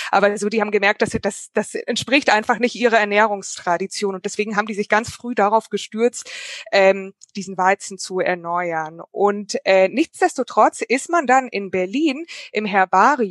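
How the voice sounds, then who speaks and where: At a moderate pace and medium pitch, a woman uses an ordinary speaking voice with ordinary pitch variation, the sound dry and close with no echo. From Germany, Munich. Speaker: historian and novelist. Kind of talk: online panel conversation. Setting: video call.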